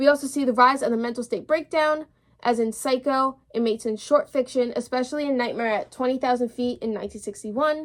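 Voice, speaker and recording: A woman's high voice at a fairly quick pace. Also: fairly even intonation. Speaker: podcast host. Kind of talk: solo podcast talk. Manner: fast; casual, chatty.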